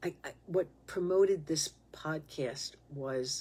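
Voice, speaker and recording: A woman with a New York accent speaks at a very slow pace, her pitch very deep and low, with ordinary pitch variation. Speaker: podcast host. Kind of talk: spiritual monologue podcast. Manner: impassioned, emphatic.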